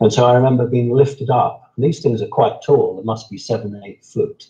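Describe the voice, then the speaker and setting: A man speaks at a medium pitch with a southern English accent. His voice is somewhat breathy, with a dark, mellow tone. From southern England, Sussex. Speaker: interviewee on alien contact. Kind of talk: interview.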